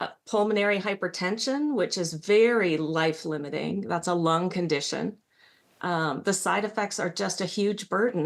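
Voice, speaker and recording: Ordinary pitch variation and a moderate pace in a woman's a plain, everyday voice. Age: 60s. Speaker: patient panelist. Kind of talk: panel discussion. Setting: virtual meeting.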